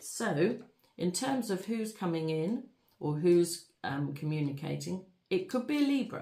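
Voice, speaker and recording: A woman speaks fairly slowly in a fairly low, somewhat breathy voice with a dark, mellow tone and very wide pitch swings. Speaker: tarot reader. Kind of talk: tarot reading.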